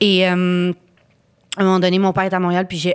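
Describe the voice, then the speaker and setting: The woman speaking has a fairly low pitch. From Ottawa, Canada; Canada. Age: 30s. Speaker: actress. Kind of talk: casual chat. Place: studio. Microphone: studio mic.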